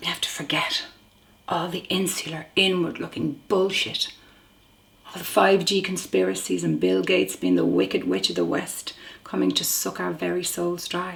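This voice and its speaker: A woman with a Dublin accent at a moderate pace, noticeable background noise behind her. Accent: Dublin Irish. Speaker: actor. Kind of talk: dramatic monologue.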